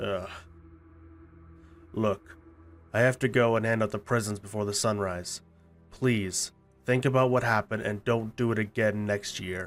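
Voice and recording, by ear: A man in a cartoonish character voice speaks at a moderate pace with a fairly low pitch, taking long, frequent pauses over faint background music.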